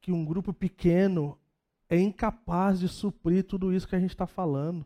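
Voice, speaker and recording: On a very clean recording with a silent background and a dry, close sound with no echo, a man speaks fairly slowly in a high pitch with a dark, mellow tone and monotone, flat intonation. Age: 40s. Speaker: pastor. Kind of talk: sermon. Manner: casual, conversational preaching.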